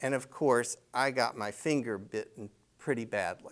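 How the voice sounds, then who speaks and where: Speaking with a North Carolina accent, a man uses medium pitch and ordinary pitch variation. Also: very clean recording, silent background. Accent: Southern US, North Carolina. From US South, North Carolina (Apex). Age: 60s. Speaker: local resident sharing memories. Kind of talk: storytelling interview. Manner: relaxed, conversational with fillers.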